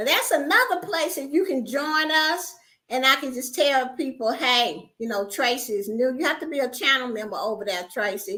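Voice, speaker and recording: A woman's raised, projected voice, high and bright with a sharp tone, swings very widely in pitch. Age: 60s. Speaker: YouTuber and home business promoter. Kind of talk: livestream chat with viewers. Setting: livestream.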